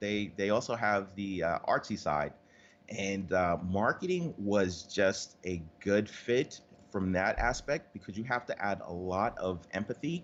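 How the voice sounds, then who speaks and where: Against a quiet background, a man with a New York accent speaks fairly slowly at a fairly low pitch. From New York City. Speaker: marketing agency owner. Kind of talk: interview. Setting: Skype call.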